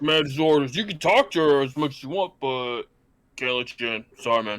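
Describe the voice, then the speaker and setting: A man puts on a character voice with a fairly high pitch and ordinary pitch variation at a fairly quick pace. The recording is very clean, with a silent background. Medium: actual play. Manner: clipped, blunt.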